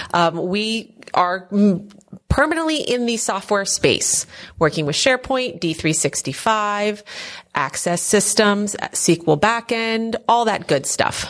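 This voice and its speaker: A woman with an American accent speaks in an ordinary speaking voice at a medium pitch. She talks at a fairly slow pace with lively intonation. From Philadelphia area, Pennsylvania. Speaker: software company owner. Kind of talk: casual interview. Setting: at a conference.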